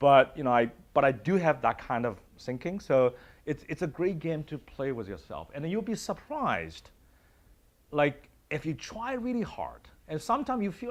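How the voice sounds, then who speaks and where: With a Chinese accent, a man speaks at a fairly quick pace. His voice has vocal fry and very wide pitch swings. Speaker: university dean. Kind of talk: panel discussion.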